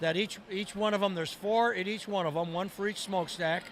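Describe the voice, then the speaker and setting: A high-pitched man's voice with fairly even intonation. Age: 70s. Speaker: tunnel project manager. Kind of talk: interview. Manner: halting.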